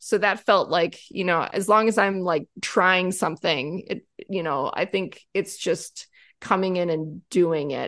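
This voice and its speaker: Against a quiet background, a woman in a normal speaking voice talks at a medium pitch and a fairly slow pace, with ordinary pitch variation. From US Midwest, Wisconsin. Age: 40s. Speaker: composer and conductor. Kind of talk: casual interview chat.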